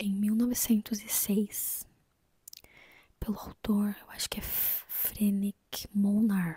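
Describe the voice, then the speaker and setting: Soft-spoken and somewhat breathy, a woman speaks very slowly in a calm, dark, mellow tone, her intonation flat and monotone, with long, frequent pauses and big swings in loudness. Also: medium pitch for a woman. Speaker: book reviewer. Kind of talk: soft-spoken book review. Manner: soft-spoken, calm.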